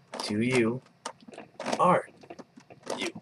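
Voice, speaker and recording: Noticeable background noise surrounds this recording. A man of medium pitch speaks at a very slow pace. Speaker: puzzle tutorial maker. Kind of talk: tutorial. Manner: casual, hesitant with fillers.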